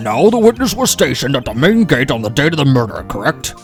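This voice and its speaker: Clear music plays in the background as a man talks at a very fast pace. He uses a put-on character voice at a fairly high pitch. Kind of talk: courtroom speech. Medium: game stream.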